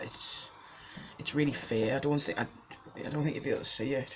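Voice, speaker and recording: A man's voice with fairly even intonation, set against noticeable background noise. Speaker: vlogger. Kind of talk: casual vlog monologue. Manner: hesitant, many ums.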